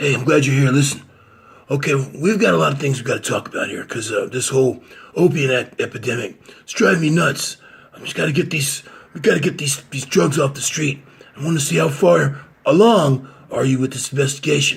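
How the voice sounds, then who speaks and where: A man's raspy, put-on character voice at a fairly quick pace with lively intonation. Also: fairly high pitch for a man. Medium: solo performance.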